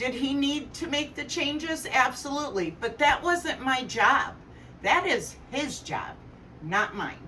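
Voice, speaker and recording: Loud and high-pitched, a woman speaks with lively intonation. Her pace is fairly slow. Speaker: tarot reader. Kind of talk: tarot reading with personal sharing. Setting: living room, camera far away. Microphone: camera far away.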